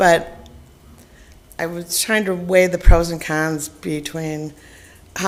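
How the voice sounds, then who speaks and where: With audible room echo, a woman speaks at a very slow pace and a fairly low pitch. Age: 60s. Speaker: resident addressing council. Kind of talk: public comment. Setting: council chamber.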